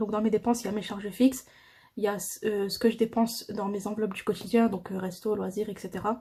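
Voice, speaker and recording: A woman speaks very fast in a fairly high, somewhat breathy voice with a dark, mellow tone. Her intonation stays flat and monotone. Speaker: budgeting vlogger. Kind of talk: casual tutorial. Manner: hesitant.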